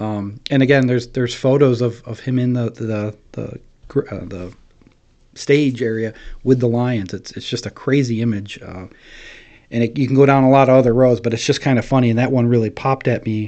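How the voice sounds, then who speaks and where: With fairly even intonation, a man speaks fairly quickly at a medium pitch. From upstate New York, Oneida County. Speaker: county historian. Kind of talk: casual interview, storytelling. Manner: hesitant, many fillers.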